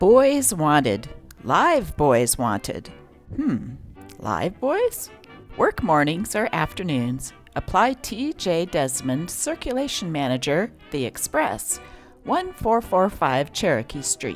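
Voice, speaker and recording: With music in the background, a woman with a fairly low voice speaks very slowly in an upbeat, playful tone, her pitch swinging very widely. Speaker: newspaper reader. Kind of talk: vintage newspaper reading.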